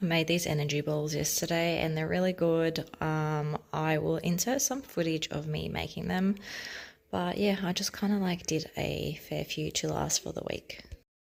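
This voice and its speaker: A woman speaks with an Australian accent at a moderate pace. Her pitch is very deep and low, with ordinary variation. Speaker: stay-at-home mum vlogger. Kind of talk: casual vlog narration. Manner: quiet, talking softly.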